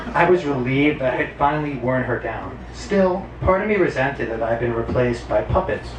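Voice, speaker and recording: A man at medium pitch, fairly quick and with hardly any pauses, lively in intonation, amid audible room echo and noticeable background noise. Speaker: storyteller. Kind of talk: stand-up. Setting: stage with audience.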